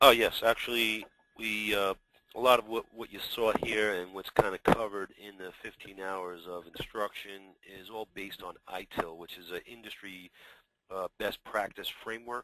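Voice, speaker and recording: With a New York accent, a man speaks at a fairly low pitch in a bright, sharp tone, his loudness swinging widely. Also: fairly even intonation, moderate pace, dry, close sound with no echo. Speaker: software company executive, former IT service provider. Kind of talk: webinar presentation. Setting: webinar.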